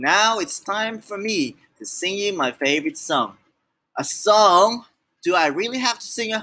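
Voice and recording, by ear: Someone is reading aloud in a natural voice with ordinary pitch variation. The background is quiet.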